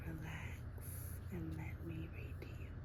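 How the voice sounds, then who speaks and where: The whispering is very slow. Noticeable noise lies behind it. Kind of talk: casual talk to camera. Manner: soft-spoken.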